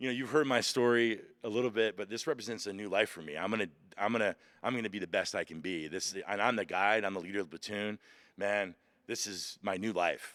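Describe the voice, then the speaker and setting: Man at a very fast pace, fairly low in pitch, with ordinary pitch variation. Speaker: pastor and former Marine. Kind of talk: interview. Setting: outdoors. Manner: loud; animated.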